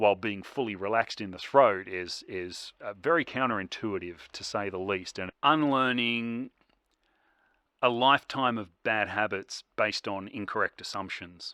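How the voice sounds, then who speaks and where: A man's fairly low-pitched voice has a bright, sharp tone and ordinary pitch variation, recorded very cleanly with a silent background and a dry, close sound with no echo. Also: big swings in loudness. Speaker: vlogger learning metal vocals. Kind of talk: casual vlog talk. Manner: hesitant, many fillers.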